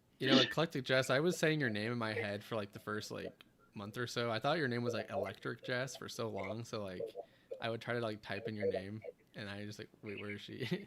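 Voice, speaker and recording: Speaking in an American accent at a fairly quick pace, a man has a normal speaking voice of medium pitch with ordinary pitch variation. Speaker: live-stream show host. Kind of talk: casual chat. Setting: live stream.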